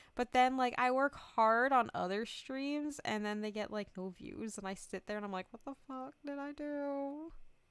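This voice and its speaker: At a moderate pace, a woman with a high pitch speaks in an animated tone, with ordinary pitch variation and big swings in loudness. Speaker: VTuber streamer. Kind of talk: casual chat.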